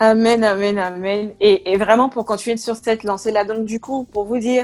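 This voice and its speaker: This woman's voice sits fairly high. Her delivery is monotone and flat at a moderate pace. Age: 20s. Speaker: project manager giving a faith testimony. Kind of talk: testimony.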